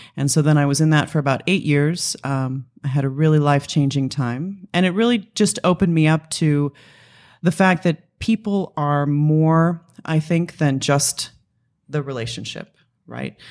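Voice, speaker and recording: At a moderate pace, a woman talks with a very deep, low pitch and ordinary pitch variation, recorded very cleanly against a silent background. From Los Angeles area. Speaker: company executive and pinup model. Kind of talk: interview.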